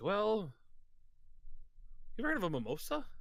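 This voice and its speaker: Someone uses a put-on character voice at a fairly quick pace, with very wide pitch swings. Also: man, high pitch for a man. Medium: actual play. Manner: cagey, smug.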